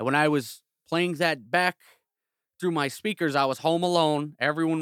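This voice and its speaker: With an American accent and a normal speaking voice, a man talks at a moderate pace and a fairly high pitch, his intonation fairly even, in a very clean, dry and close recording with a silent background and no echo. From Chicago south suburbs. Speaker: podcast host and music engineer. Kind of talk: casual chat.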